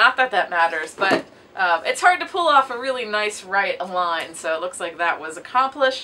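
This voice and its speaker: A woman's voice with very wide pitch swings at a moderate pace, over noticeable background noise. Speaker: booktuber. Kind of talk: casual video monologue.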